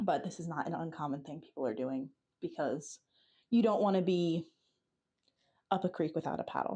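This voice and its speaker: A woman speaks with an American accent at a fairly quick pace. Her tone is dark and mellow. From New Jersey. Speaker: vlogger. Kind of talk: video diary. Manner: casual, chatty. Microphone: phone's built-in mic, small mic no longer works.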